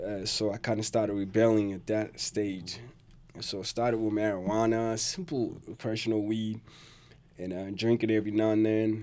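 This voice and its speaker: On a very clean recording with a silent background, a man speaks in a dark, mellow tone. His intonation is monotone and flat. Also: fairly low pitch for a man, moderate pace. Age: 40s. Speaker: person in addiction recovery. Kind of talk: testimony.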